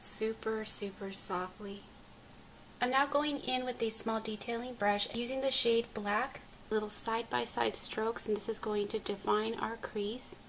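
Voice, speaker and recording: A woman talks fairly slowly with fairly even intonation, noticeable background noise running beneath her. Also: fairly high pitch for a woman. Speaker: beauty vlogger. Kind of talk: makeup tutorial narration.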